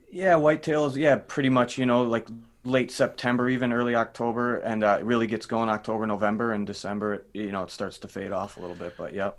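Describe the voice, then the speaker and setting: At a very fast pace, a man speaks at medium pitch with ordinary pitch variation and big swings in loudness. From Minnesota. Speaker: rock drummer. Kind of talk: casual chat.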